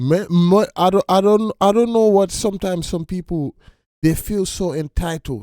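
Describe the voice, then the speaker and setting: A man's dark, mellow voice at a moderate pace, recorded dry and close with no echo on a very clean recording with a silent background. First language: not English. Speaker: reaction video host. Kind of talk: casual commentary. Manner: halting, repeats words; animated.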